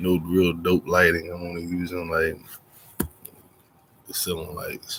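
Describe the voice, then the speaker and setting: Quiet and at a fairly slow pace, a man speaks with big swings in loudness and long, frequent pauses. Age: 40s. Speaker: vlogger. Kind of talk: casual monologue. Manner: quiet, low voice.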